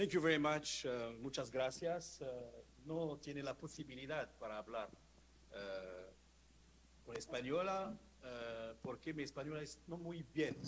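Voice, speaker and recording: At a very slow pace, a man talks with lively intonation and a fairly high pitch. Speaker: law professor. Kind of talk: conference talk. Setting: conference panel. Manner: halting.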